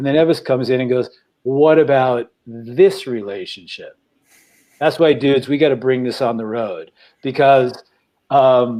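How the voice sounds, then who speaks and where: At a moderate pace with long, frequent pauses, a man with an American accent speaks in a dark, mellow tone and fairly even intonation. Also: medium pitch for a man. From New York. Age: 60s. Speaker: podcast co-host. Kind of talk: emotional sharing in a group talk. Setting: studio. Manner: halting.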